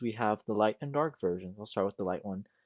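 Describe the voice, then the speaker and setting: A man with a fairly low pitch is heard in a dry, close sound with no echo, on a very clean recording with a silent background. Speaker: music reviewer / youtuber. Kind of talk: casual commentary, ranking albums. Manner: hesitant, many fillers and restarts.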